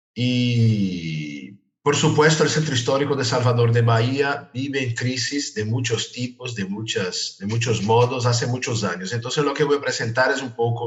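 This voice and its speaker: A man with a Brazilian accent speaks at a fairly slow pace with hardly any pauses, a medium pitch, ordinary pitch variation and a somewhat breathy sound. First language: Portuguese (speaking Spanish). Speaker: architecture professor. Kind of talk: lecture.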